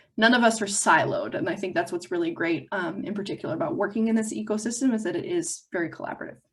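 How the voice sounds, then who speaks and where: A woman's somewhat breathy voice, at a medium pitch, moves at a very fast pace. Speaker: economic development agency presenter. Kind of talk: webinar presentation.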